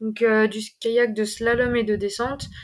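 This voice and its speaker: A woman's voice is heard. The background is silent, and the recording is very clean. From eastern France (Ain). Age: 20s. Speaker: trail runner, PE teacher. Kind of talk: interview. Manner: halting.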